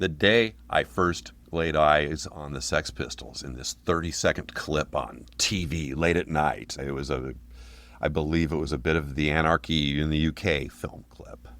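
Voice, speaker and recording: Very deep and low, a man's voice with vocal fry moves at a fairly slow pace with ordinary pitch variation, in a very clean recording with a silent background. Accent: American. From Portland, Oregon. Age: 60s. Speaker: punk band singer. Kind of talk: casual interview.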